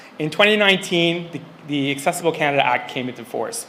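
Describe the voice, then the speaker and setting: Someone talks at a very fast pace with ordinary pitch variation. Room echo is audible. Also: man. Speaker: senior civil servant. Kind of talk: conference speech.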